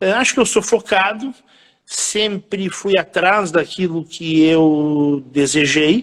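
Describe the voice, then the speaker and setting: A man speaks very slowly in a high voice, his pitch rising and falling in an ordinary way. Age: 60s. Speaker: event entrepreneur. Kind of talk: interview.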